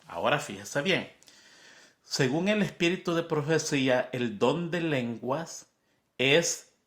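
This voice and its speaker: Speaking very slowly with a Spanish accent, a man uses a fairly high pitch, lively intonation and noticeable vocal fry. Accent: Spanish-speaker's accent in English. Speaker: Bible study teacher. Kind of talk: Bible lesson review. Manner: conversational, repetitive emphasis.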